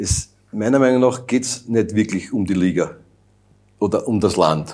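A man talks at a moderate pace and medium pitch. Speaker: youth national football coach. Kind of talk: interview.

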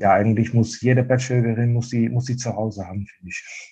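In a Dutch accent, a man speaks at a medium pitch in a monotone, flat intonation, sounding somewhat breathy. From Netherlands, eastern border region. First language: Dutch (speaking German). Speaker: fabric wholesale sales representative. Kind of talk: casual interview.

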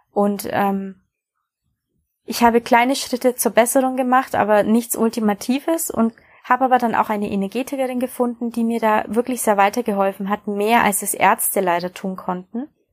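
In a dry, close sound with no echo, a woman with a normal speaking voice talks at a fairly high pitch with fairly even intonation. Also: moderate pace. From Bavaria, Germany. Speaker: podcast host, coach and hypnotherapist. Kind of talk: personal introduction monologue.

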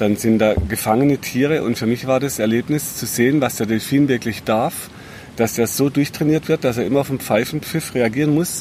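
A man's medium-pitched voice with ordinary pitch variation amid noticeable background noise. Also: moderate pace. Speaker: health podcast host and therapist. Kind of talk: casual interview chat.

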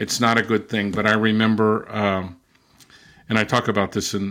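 A man with a Californian accent speaks at a moderate pace in a fairly low pitch, on a very clean recording with a silent background. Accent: Californian American. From US, Southern California (Mexican border). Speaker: linguist. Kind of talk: interview.

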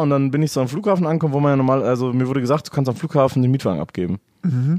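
This man talks at a fairly high pitch, with ordinary pitch variation. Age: 20s. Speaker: podcast guest. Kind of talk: casual chat.

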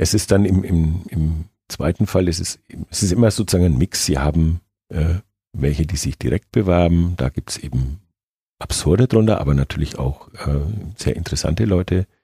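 The dark, mellow voice is somewhat breathy, moves at a moderate pace with ordinary pitch variation, and sounds dry and close with no echo. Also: man, very deep, low pitch for a man. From Nuremberg, Franconia, Germany. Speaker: football club supervisory board chairman. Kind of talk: interview.

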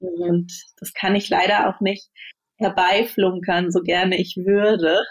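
A woman's medium pitch with monotone, flat intonation. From Berlin, Germany. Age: 30s. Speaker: managing director. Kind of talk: interview. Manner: hesitant, many fillers.

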